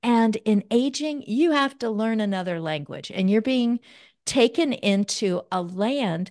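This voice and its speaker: A woman with an ordinary speaking voice talks at a fairly slow pace, her pitch fairly high and her intonation lively, against a quiet background. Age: 60s. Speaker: aging advocate and author. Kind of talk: casual chat.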